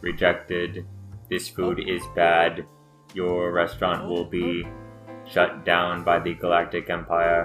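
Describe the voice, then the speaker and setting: Against clear music in the background, a man speaks at a fairly slow pace in a put-on character voice with a very deep, low pitch. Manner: stern, judging.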